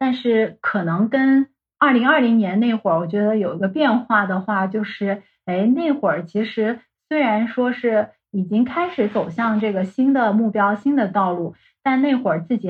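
Fairly high-pitched, somewhat breathy woman's voice at a moderate pace, with lively intonation. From mainland China. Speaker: life coach. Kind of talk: interview.

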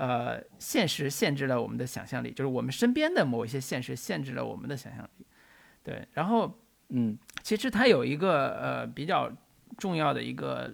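A man's voice, moderately paced, on a very clean recording against a silent background. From northern China. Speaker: film podcast host. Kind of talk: casual chat.

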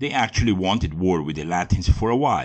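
A man with a German accent speaks with lively intonation. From Germany. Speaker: history podcaster. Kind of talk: scripted narration.

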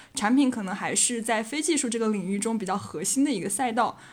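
At a fairly quick pace, a woman with a fairly high pitch talks in an ordinary speaking voice, in a very clean recording with a silent background. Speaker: graduate student job seeker. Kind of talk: casual chat.

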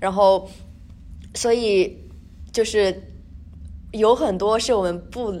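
Very slowly and with long, frequent pauses, a woman speaks at a medium pitch with a dark, mellow tone and fairly even intonation. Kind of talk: casual chat.

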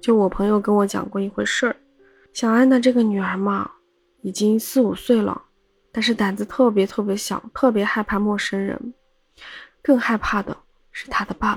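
Speaking at a moderate pace, a woman keeps her intonation fairly even while her loudness swings widely and long pauses come often. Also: fairly high pitch for a woman. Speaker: podcast host, storyteller. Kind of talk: casual storytelling monologue.

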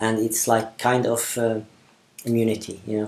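A man is speaking. His pace is fairly slow. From Syria. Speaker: refugee. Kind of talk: interview. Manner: halting.

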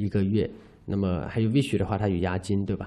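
A man's dark, mellow tone at a fairly low pitch. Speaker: cross-border e-commerce seller and podcast host. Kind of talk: informal educational monologue.

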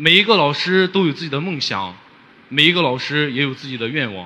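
A man talks at a moderate pace over noticeable background noise. His fairly high voice swings very widely in pitch. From Xinjiang, Hotan. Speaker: rural teacher. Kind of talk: audience question. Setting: stage with audience. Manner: halting.

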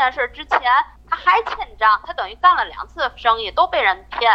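A woman uses a raised, projected voice at a moderate pace. Her pitch swings very widely. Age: 40s. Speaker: caller sharing her marriage story. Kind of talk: personal testimony. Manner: halting, repetitive.

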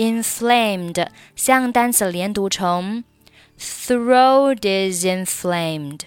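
With lively intonation, the speaker delivers the words at a very slow pace. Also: woman. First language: Chinese. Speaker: English pronunciation teacher. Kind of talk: tutorial. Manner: slow, repetitive drilling.

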